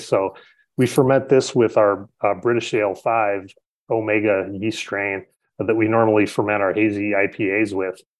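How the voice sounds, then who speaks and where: A man with an American accent has a normal speaking voice at a fairly low pitch. His pace is moderate. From Chicago, South Side. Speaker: head brewer. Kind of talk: podcast interview.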